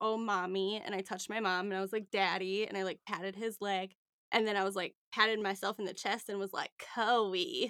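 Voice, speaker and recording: A woman speaks at a moderate pace with medium pitch and ordinary pitch variation, her tone bright and sharp. The recording is very clean with a silent background, and the sound is dry and close with no echo. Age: 30s. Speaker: podcast host and business owner. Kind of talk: casual chat. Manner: animated.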